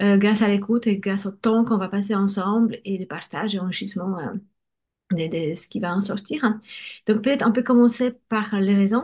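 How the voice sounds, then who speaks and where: A woman with a Polish accent speaks at a moderate pace and medium pitch, somewhat breathy, with fairly even intonation against a quiet background. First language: Polish (speaking French). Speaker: bilingual education coach. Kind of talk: conversational interview.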